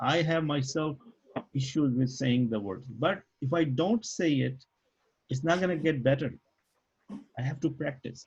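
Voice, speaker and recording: A man speaks fairly slowly in a fairly high, somewhat breathy voice with ordinary pitch variation. Long pauses come often. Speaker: Arabic language teacher. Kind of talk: online class lesson. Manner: halting, stutters on Arabic words.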